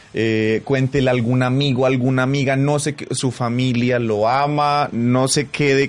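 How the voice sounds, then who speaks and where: A man at a very slow pace, medium in pitch, with fairly even intonation. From Colombia, Pasto. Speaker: radio host. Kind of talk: casual chat.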